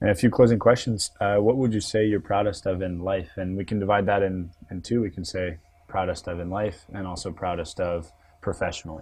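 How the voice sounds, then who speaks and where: Fairly even intonation and a somewhat breathy quality, in a Canadian accent. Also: man, very deep, low pitch for a man, fairly quick pace. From Canadian East Coast. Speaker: interviewer. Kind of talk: interview.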